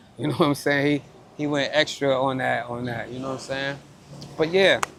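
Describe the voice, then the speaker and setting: At a fairly quick pace, a man with a fairly high voice keeps his intonation fairly even over noticeable background noise. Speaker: basketball interviewer, former player. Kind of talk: casual interview. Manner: halting.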